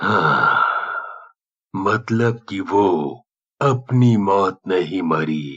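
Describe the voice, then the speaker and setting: A man uses a cartoonish character voice, raspy and fairly low in pitch. He speaks at a very slow pace with long, frequent pauses. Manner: grave, authoritative.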